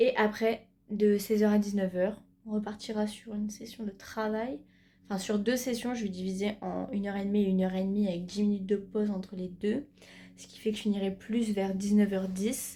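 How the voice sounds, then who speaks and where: A woman talks at a fairly quick pace in a medium pitch, with a dark, mellow tone that is somewhat breathy. Her intonation is monotone and flat, while her loudness swings widely. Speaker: student vlogger. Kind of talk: vlog narration. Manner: casual, hesitant fillers.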